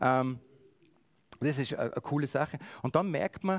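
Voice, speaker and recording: At a moderate pace, a man with a medium pitch and ordinary pitch variation speaks in a dry, close sound with no echo. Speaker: preacher. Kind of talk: sermon.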